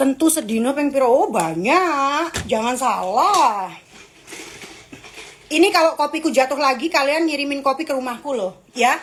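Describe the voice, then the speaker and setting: There is noticeable background noise behind this woman. Her voice is high, with lively intonation. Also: moderate pace. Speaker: live streamer. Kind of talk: casual live stream chat with viewers. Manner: animated.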